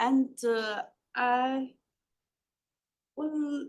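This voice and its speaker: Speaking with a Taiwanese accent, a woman uses a high pitch and ordinary pitch variation. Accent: Taiwanese accent, noticeable. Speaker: professor. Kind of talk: lecture.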